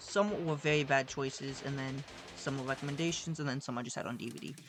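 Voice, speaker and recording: Over music in the background, a woman speaks at a very fast pace. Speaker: YouTuber reviewing horror movies. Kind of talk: casual vlog review. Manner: casual, filler-heavy.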